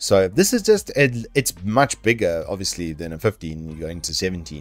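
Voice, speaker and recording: A man talks while faint music sits in the background. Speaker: presenter. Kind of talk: product rundown commentary. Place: home room.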